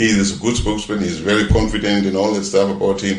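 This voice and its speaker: A man's voice over noticeable background noise. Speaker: tourism expert. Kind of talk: news interview.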